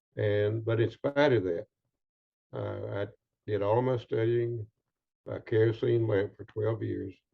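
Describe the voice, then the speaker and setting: A man with an American accent, somewhat breathy, at a fairly slow pace with fairly even intonation and long, frequent pauses. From US South. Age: 80s+. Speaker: retired doctor and author. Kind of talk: interview. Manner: halting.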